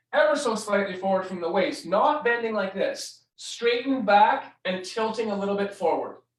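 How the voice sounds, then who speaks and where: A man speaks at a moderate pace in a high voice with lively intonation, and the room echo is audible. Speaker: scoliosis exercise instructor. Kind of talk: tutorial. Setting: live stream.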